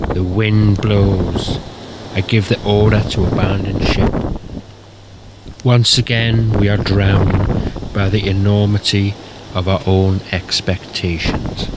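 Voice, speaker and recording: Very slowly and with long, frequent pauses, a man talks in a fairly low pitch and a monotone, flat intonation at very even loudness over noticeable background noise. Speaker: poet. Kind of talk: spoken word poetry reading.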